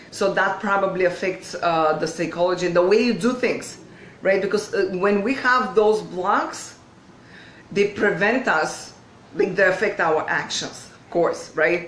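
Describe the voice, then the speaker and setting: A woman with a non-native accent speaks fairly slowly with ordinary pitch variation and big swings in loudness, in a room with audible echo and noticeable background noise. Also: medium pitch for a woman. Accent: foreign. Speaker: video coach. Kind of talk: live online training. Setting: livestream. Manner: hesitant with fillers.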